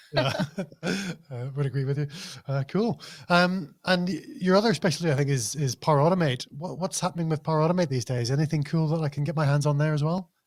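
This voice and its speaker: Very fast and somewhat breathy, a man talks with a Northern Irish accent at a fairly high pitch with ordinary pitch variation. The recording is very clean, with a silent background. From Northern Ireland. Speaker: podcast host. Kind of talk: interview. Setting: podcast.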